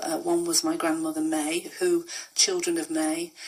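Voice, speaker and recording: A woman with a slight Lancashire accent speaks at a moderate pace over noticeable background noise. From northern England, Rochdale, Lancashire. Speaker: author and pension campaigner. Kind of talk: pre-recorded reminiscence; radio interview. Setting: radio.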